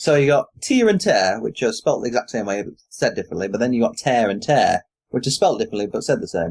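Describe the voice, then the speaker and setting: In a British accent, a man with a fairly high pitch races along at a very fast pace, his pitch swinging very widely. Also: dry, close sound with no echo. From Britain. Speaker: podcast host. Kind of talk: casual chat.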